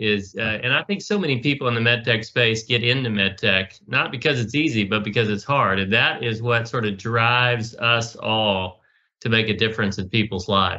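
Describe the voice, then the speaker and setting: With an American accent and a normal speaking voice, a man speaks at a medium pitch and moderate pace, with hardly any pauses. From US South. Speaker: podcast host. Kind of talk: interview.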